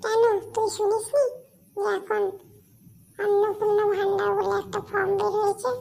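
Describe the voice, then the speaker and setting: This cartoonish character voice has an extremely high pitch. It moves along at a moderate pace. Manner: chatty, bossy.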